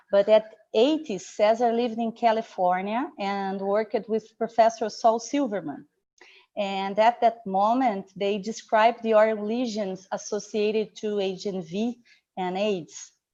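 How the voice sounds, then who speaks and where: A woman speaks in a Portuguese accent with a dark, mellow tone and fairly high pitch. She talks at a fairly slow pace against a quiet background. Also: ordinary pitch variation. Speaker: academic session moderator. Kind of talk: formal introduction. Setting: live online session.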